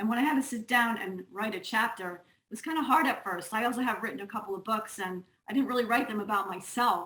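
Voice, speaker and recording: Speaking at a fairly quick pace, a woman talks with a Long Island accent. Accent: Long Island New York. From US Northeast, Long Island, New York. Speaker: music teacher and author. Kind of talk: casual chat.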